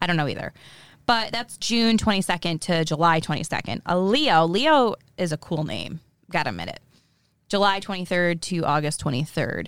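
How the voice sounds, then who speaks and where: Using an unremarkable speaking voice, a woman talks at a moderate pace with lively intonation and a fairly low pitch. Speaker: podcast host. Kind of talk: casual banter podcast chat. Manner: playful, joking.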